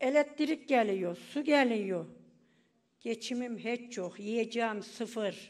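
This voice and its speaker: A woman speaks at a very slow pace with a fairly high pitch and ordinary pitch variation. The background is quiet. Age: 80s+. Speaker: pensioner. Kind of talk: speech at public meeting. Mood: aggrieved, complaining about hardship. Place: hall. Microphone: podium.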